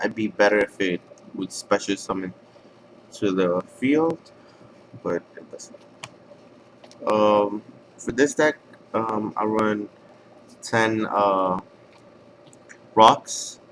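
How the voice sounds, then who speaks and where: Speaking very slowly with long, frequent pauses, a man with a non-native accent uses a fairly low pitch, ordinary pitch variation, and big swings in loudness. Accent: foreign. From outside the US. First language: not English. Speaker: card game player. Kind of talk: deck profile tutorial. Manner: halting, many fillers.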